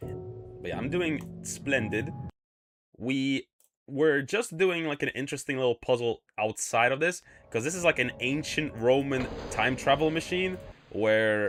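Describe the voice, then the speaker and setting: With music in the background, a man with an American accent talks fairly slowly at a medium pitch with ordinary pitch variation. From UK, Polish family. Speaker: VTuber streamer. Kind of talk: casual live game stream chat. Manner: hesitant, many fillers.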